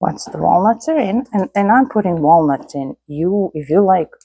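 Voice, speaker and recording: A woman with a dark, mellow tone speaks with lively intonation, in a dry, close sound with no echo. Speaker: home cooking youtuber. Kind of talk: cooking tutorial. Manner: slow; casual.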